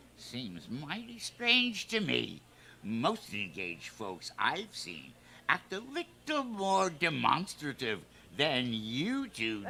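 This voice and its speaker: Putting on a character voice, a man talks very slowly at a fairly high pitch. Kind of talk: 1950s radio sitcom. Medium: stage play. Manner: folksy, hearty.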